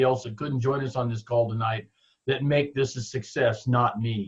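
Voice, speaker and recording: A man speaks at a fairly quick pace with a medium pitch and fairly even intonation. His voice is somewhat breathy. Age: 60s. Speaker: network marketing distributor. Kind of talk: motivational team call talk. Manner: halting, repeats words.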